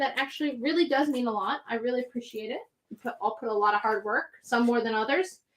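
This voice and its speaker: A very fast, high-pitched woman with an American accent. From New Jersey (Central). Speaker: comic shop live sale host. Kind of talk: live sales stream.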